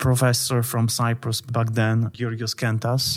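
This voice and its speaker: A man with a Polish accent and a medium pitch in a very clean recording with a silent background. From Poland. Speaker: international relations analyst and journal editor. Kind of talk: interview.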